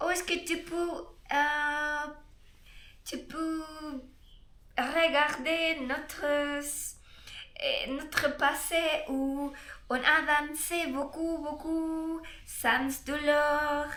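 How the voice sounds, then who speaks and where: A bright, sharp tone in a Spanish-speaking accent, monotone and flat, at a very slow pace with long, frequent pauses and audible room echo. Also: woman, high pitch for a woman. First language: Spanish (speaking French). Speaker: Spanish tutor. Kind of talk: guided meditation; casual self-introduction. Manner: halting, searching for words.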